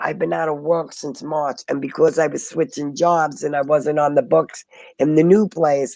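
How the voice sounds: This woman has a low pitch with vocal fry, a dark, mellow tone, fairly even intonation and a moderate pace.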